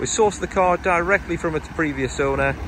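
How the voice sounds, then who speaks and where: This man's voice sounds dry with no echo, over light background noise. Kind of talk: sales walkaround presentation. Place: street. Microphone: phone near.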